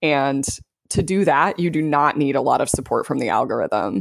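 Fairly quick American-accented speech on a very clean recording with a silent background. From US South, South Louisiana. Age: 30s. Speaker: life coach and business consultant. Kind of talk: casual interview chat.

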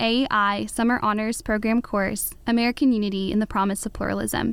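A woman's fairly high-pitched, a normal speaking voice at a fairly quick pace, with ordinary pitch variation and a very clean recording over a silent background. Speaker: college student interviewer. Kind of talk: interview questions. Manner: read from script.

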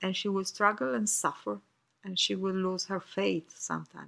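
With an Italian accent, a woman speaks at a moderate pace using lively intonation. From Italy. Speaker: author. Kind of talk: recorded personal reflection. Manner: halting.

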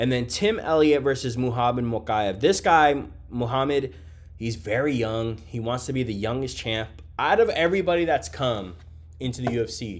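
A man speaks at a moderate pace and medium pitch with lively intonation, music playing in the background. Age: 30s. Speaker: MMA podcast host. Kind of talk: casual solo fight breakdown. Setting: hotel room. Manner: casual, filler-heavy.

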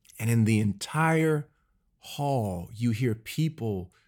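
A medium-pitched man's voice in an American accent, with lively intonation, on a very clean recording with a silent background. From US Midwest, Cleveland, Ohio. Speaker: pastor. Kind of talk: interview conversation. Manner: fast.

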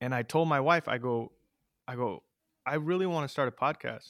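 The recording is very clean, with a silent background and a dry, close sound with no echo. A man speaks at a moderate pace with ordinary pitch variation in an American accent. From US West Coast, East Side San Jose, California. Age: 30s. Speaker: amateur MMA fighter and podcaster. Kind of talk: casual interview chat.

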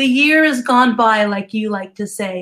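A woman with a plain, everyday voice speaks at a moderate pace and a fairly high pitch, with ordinary pitch variation. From US Northeast. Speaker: business and success coach. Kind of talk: casual interview chat.

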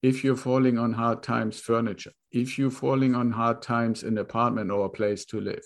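At a fairly quick pace, a man talks with hardly any pauses. His medium-pitched voice holds a monotone, flat intonation. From Germany. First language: German. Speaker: real estate investor. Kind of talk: interview.

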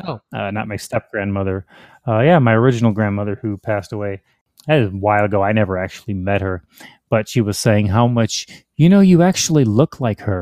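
An ordinary speaking voice: a man with an American accent, fairly low in pitch with ordinary variation, at a fairly quick pace. The recording is very clean with a silent background and a dry, close sound with no echo. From US Midwest, Chicago area. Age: 40s. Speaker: crossdresser, military veteran. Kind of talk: casual interview.

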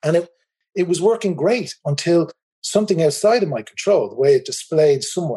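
A man speaks at a moderate pace in an Irish accent. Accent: Irish, noticeable. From Republic of Ireland. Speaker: tour company managing director. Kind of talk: casual interview chat.

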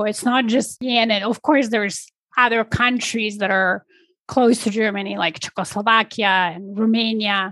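In a Polish accent, a woman with a fairly high pitch talks at a moderate pace with ordinary pitch variation. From Poland. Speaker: business and leadership coach. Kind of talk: interview conversation.

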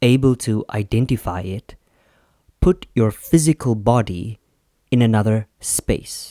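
On a very clean recording with a silent background, a man speaks at medium pitch and a fairly slow pace. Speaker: solo podcast host. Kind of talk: reflective monologue. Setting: at home, indoors. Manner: deliberate, measured pace.

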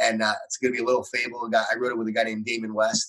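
A man with an American accent talks at a very fast pace and a medium pitch. His intonation is monotone and flat, and his tone is bright and sharp. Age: 40s. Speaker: author and speaker. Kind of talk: interview.

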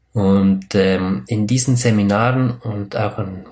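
Fairly even intonation marks this man's fairly low-pitched speech. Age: 30s. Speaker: spiritual podcast host. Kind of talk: solo podcast monologue. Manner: hesitant, many fillers.

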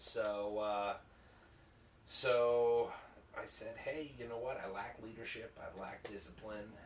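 A man with an American accent, medium pitch and monotone, flat intonation, at a very slow pace with long, frequent pauses and audible room echo. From Chicago area, Illinois (Downers Grove). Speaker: business owner and Marine veteran. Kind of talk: casual chat.

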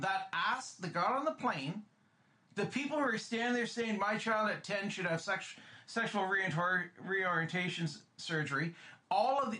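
Raised and projected, a man's voice sits high in pitch with a bright, sharp tone, ordinary pitch variation and a moderate pace. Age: 50s. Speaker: podcast co-host. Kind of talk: casual chat. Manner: animated.

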